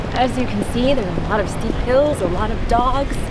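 Music plays in the background as a woman speaks, the sound dry with no echo. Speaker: travel vlogger. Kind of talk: casual vlog chat. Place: street. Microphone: phone near.

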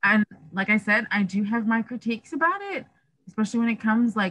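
The voice moves at a moderate pace with a fairly bright tone. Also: woman.

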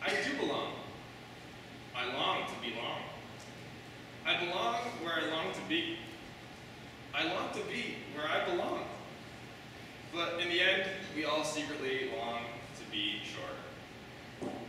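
Strong room echo and noticeable background noise surround a man who speaks fairly slowly with ordinary pitch variation and long, frequent pauses. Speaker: open mic poet. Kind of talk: poetry reading with casual intro. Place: hall.

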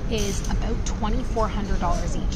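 Loud background noise fills the clip. Through it, a woman talks. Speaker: travel vlogger. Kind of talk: casual vlog chat. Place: station. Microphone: phone near.

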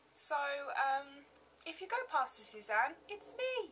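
A woman with an English accent uses a raised, projected voice with a bright, sharp tone and very wide pitch swings. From England. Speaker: beauty vlogger. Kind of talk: casual chat. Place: home room. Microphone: webcam.

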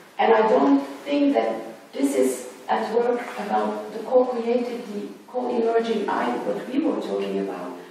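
Very deep and low in pitch for a woman, her voice makes very wide pitch swings at a fairly slow pace with hardly any pauses, set in strong room echo and light background noise. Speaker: academic or artist on panel. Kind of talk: academic round-table discussion. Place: hall.

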